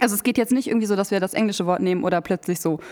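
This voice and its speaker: Noticeable background noise is present throughout. A woman talks at a medium pitch, her pitch varying in an ordinary way. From Hameln, Lower Saxony, Germany. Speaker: podcast co-host. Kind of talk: casual chat. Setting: coworking space studio.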